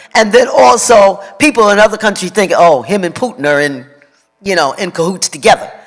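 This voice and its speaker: A man's high-pitched voice with lively intonation at a fairly quick pace, music in the background. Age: 80s+. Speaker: community member speaking at meeting. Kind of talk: public comment at community meeting.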